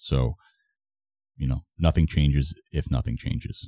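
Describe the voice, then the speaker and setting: A man with an American accent has a very deep, low pitch and a dark, mellow tone, with ordinary pitch variation, in a dry, close sound with no echo. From US, Long Island, New York. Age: 30s. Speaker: fitness coach. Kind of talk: casual chat. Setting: in person studio.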